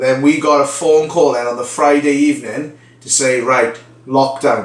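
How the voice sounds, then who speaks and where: A man with a Welsh accent talks at a medium pitch amid noticeable background noise and audible room echo. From Wales, the Valleys. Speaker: vlogger, reality TV contestant. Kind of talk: casual vlog storytelling.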